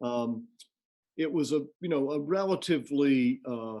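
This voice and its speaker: A man speaks with an American accent and an unremarkable speaking voice. His pitch is fairly high, with ordinary pitch variation. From US South, Georgia. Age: 60s. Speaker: music college president. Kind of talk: interview conversation.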